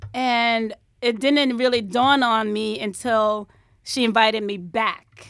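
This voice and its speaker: A woman with a New York accent talks at a very slow pace, her pitch fairly high and her intonation fairly even. The recording is very clean, with a silent background. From New York, the Bronx. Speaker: hairstylist. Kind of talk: interview. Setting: studio.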